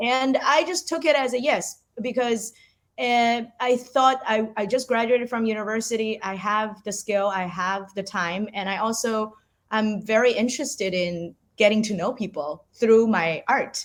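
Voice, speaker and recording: Speaking fairly slowly at a fairly high pitch, a woman with a Chinese accent shows ordinary pitch variation in a very clean recording with a silent background. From China. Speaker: artist. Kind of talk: interview. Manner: halting, frequent repetitions.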